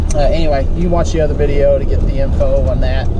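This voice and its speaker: With loud noise all around in the background, a man is talking. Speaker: vlogger. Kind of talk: casual vlog chat. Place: car. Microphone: phone near.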